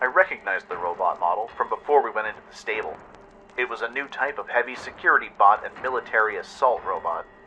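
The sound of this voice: What we hear is an unforced reading voice.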